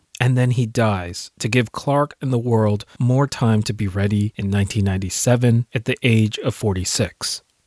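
In a very clean recording with a silent background and a dry, close sound with no echo, a man speaks in a plain, everyday voice at medium pitch and a moderate pace, with fairly even intonation and hardly any pauses. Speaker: podcast host and film commentator. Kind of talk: scripted-style analysis commentary.

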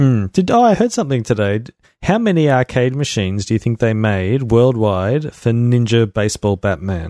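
A man speaks at a moderate pace in a Melbourne accent, his medium-pitched voice dark and mellow with lively intonation. The sound is dry and close with no echo, over a quiet background. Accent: Australian, Melbourne northern suburbs. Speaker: podcast host. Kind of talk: casual chat.

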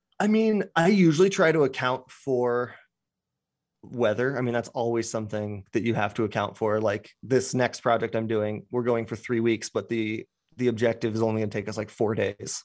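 A man speaks in a plain, everyday voice at medium pitch and a moderate pace. His pitch varies in an ordinary way, and the recording is very clean with a silent background. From Colorado, US. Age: 30s. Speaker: outdoor photographer. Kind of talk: casual interview chat.

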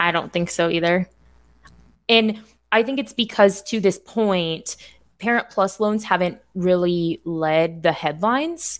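A woman with a plain, everyday voice talks fairly slowly at a medium pitch with ordinary pitch variation. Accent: American. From Indiana. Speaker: financial coach. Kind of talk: casual chat.

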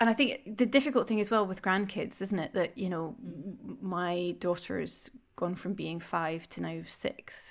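A woman with a Scottish accent speaks at a medium pitch and a moderate pace, with ordinary pitch variation and vocal fry. The recording is very clean, with a silent background. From Scotland. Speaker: podcast host. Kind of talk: casual interview conversation.

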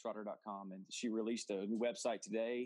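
A man with a medium-pitched voice speaks in an Oklahoma accent. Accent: Oklahoma Southern US. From Oklahoma, US. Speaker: football coach. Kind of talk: interview testimony. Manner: animated.

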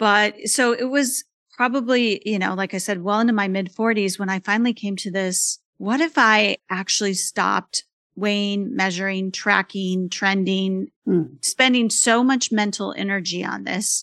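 In a plain, everyday voice, a woman of medium pitch talks at a moderate pace with ordinary pitch variation, against a quiet background and with a dry, close sound that has no echo. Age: 50s. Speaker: author and mother living with type 1 diabetes. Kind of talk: interview. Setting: remote call.

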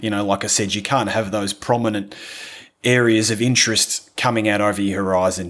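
A man with an Australian accent, a relaxed, enthusiastic tone, a fairly low pitch, and a fairly quick pace. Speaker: landscape photographer. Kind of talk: casual interview chat. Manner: relaxed, enthusiastic, hesitant with fillers.

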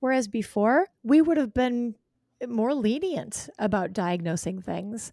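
A woman's fairly high voice with a dark, mellow tone, in an American accent, at a fairly slow pace. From Wisconsin, Green Bay area. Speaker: OB-GYN doctor. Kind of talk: interview. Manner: animated, passionate.

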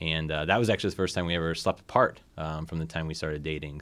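In a very clean recording with a silent background, a man with a Midwestern American accent speaks at a very deep, low pitch. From northern Indiana, Lake County. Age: 30s. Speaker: LGBTQ community organizer and parent. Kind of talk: interview. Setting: radio studio.

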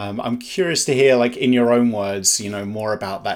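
A man talks in an ordinary speaking voice at a moderate pace. His pitch varies in an ordinary way. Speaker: insomnia coach podcast host. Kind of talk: interview.

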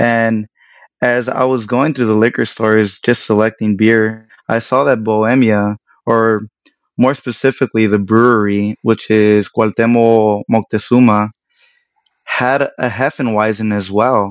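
A fairly slow, monotone delivery in an American accent, very even in loudness, with a dry, close sound and no echo. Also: man, medium pitch for a man. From Los Angeles area, Mexican American. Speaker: craft brewer. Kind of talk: casual interview.

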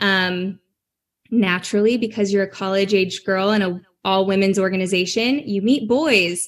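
The pace is moderate and the pitch variation ordinary, in a normal speaking voice. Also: woman, medium pitch for a woman. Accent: American. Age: 20s. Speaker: personal brand strategist. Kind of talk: interview testimony.

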